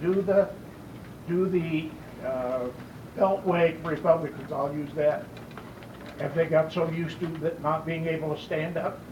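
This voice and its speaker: A man with an American accent and a fairly high pitch for a man speaks at a fairly slow pace, his fairly even intonation broken by long, frequent pauses, with audible room echo and noticeable background noise. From Colorado, Loveland. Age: 70s. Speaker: audience member asking question. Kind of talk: public question at town hall. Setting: town hall meeting with audience.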